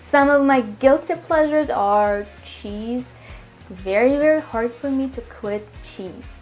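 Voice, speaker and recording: This woman speaks with a Russian accent and ordinary pitch variation. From Russia, Moscow. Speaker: healthy cooking vlogger. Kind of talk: casual Q&A chat to viewers.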